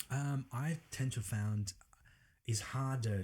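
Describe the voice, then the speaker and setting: A man's speech shows ordinary pitch variation and is somewhat breathy. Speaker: property businessman. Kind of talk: interview. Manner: halting.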